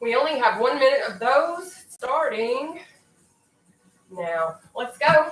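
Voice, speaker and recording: A woman speaks very slowly in a high voice with an American accent, her pitch swinging very widely and her upbeat tone broken by long, frequent pauses over background music. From Kentucky. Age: 30s. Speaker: online fitness instructor. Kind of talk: live-streamed workout coaching. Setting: live stream at home. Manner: encouraging, upbeat.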